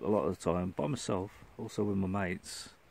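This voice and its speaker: Speaking in a West Midlands accent, a man with a fairly low pitch and a dark, mellow tone keeps his intonation fairly even. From Shrewsbury, Shropshire, England. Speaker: outdoors vlogger. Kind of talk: casual vlog monologue. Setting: outdoors in a forest, hammock under tarp. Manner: hesitant, many fillers.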